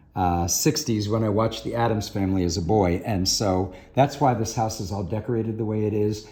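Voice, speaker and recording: The speaker has an unremarkable speaking voice, talking at a fairly quick pace with ordinary pitch variation. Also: man. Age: 60s. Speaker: shop owner giving a house tour. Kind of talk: casual chat.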